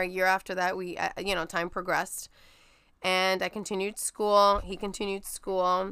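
On a very clean recording with a silent background, a woman with a New York accent speaks at a medium pitch in a bright, sharp tone. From New York (Brooklyn). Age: 30s. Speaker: guest sharing infertility story. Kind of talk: casual interview, personal story.

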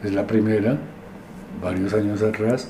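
A man talks amid noticeable background noise, with room echo audible around him. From Colombia, Medellín (Antioquia). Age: 70s. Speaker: literature professor and critic. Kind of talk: interview, life story.

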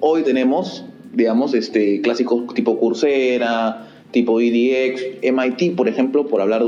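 A man's medium-pitched voice at a fairly slow pace, fairly even in intonation, with noticeable background noise and audible room echo. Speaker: podcast host. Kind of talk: interview.

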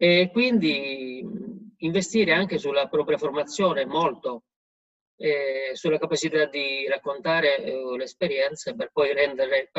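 At a moderate pace, a man speaks in an unremarkable speaking voice with ordinary pitch variation. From Puglia, Italy. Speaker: rural farm owner, participant. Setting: video call.

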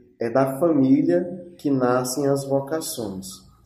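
The voice shows ordinary pitch variation. Room echo is audible. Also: man. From Brazil, Ceará (Sobral). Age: 20s. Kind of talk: testimony.

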